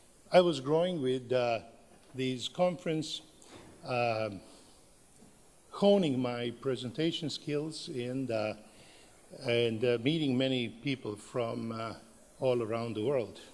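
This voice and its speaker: With a Serbian accent, a man speaks very slowly with long, frequent pauses and ordinary pitch variation in a room with audible echo. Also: medium pitch for a man. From Serbia, Belgrade. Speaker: professor. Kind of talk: conference talk. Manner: halting, many fillers.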